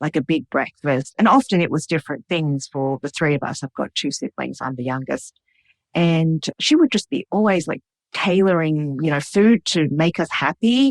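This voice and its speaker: Speaking at a moderate pace, this voice has an Australian accent. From Australia, Sydney. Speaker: cook and food writer. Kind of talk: interview.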